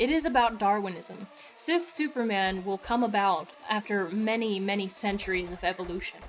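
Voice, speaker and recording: A woman at a moderate pace, lively in her intonation, with music in the background. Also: medium pitch for a woman. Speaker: religious teacher / preacher of a Sith-themed belief system. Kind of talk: sermon-style reading and commentary on a religious text, addressed to viewers.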